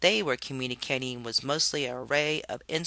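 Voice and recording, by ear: The intonation stays fairly even while someone reads aloud in a natural voice.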